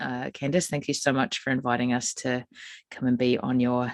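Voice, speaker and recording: This woman has a very deep, low pitch and a New Zealand accent, talking at a fairly quick pace. The sound is dry and close with no echo, over a quiet background. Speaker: psychic medium and spiritual healer. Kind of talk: podcast conversation.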